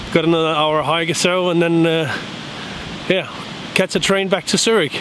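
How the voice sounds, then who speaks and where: Noticeable background noise sits behind a man's voice. His pitch is high and his pace fairly quick. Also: dry sound with no echo. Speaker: travel vlogger. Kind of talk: casual vlog chat. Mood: cheerful, relaxed. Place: open country. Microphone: phone near.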